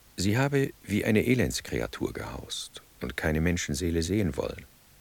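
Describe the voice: Putting on a character voice, a man speaks at a moderate pace in a low pitch with big pitch swings, vocal fry and a slightly husky edge.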